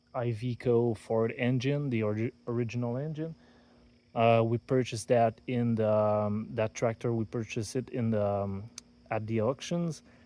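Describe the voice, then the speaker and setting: A man with a French accent and a dark, mellow tone at a medium pitch, with fairly even intonation and a moderate pace, in a very clean recording with a silent background. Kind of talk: casual talk to camera. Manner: hesitant, many fillers.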